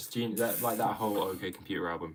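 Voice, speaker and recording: This man has an English accent and a fairly even intonation. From England. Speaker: drummer streamer. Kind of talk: casual live stream Q&A. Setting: live stream at home. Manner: casual, hesitant with fillers.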